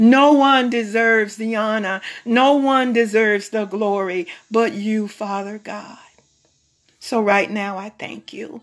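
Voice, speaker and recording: A woman with a plain, everyday voice speaks at a fairly slow pace and fairly high pitch, with fairly even intonation but big swings in loudness. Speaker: prayer leader. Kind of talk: fervent prayer. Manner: fervent, pleading, repetitive, with frequent 'oh God' interjections; slow, measured, pausing, reverent.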